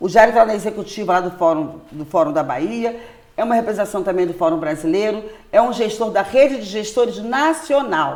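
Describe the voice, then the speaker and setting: A woman talks at a fairly quick pace and medium pitch, her tone animated and her intonation lively. Noticeable background noise runs under her voice. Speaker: popular educator and solidarity economy worker. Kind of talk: interview conversation. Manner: fast.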